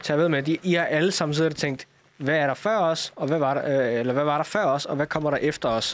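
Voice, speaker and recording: This man has an unremarkable speaking voice, pitched fairly high, moving at a fairly quick pace with ordinary pitch variation. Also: very even loudness. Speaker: coder. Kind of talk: casual chat.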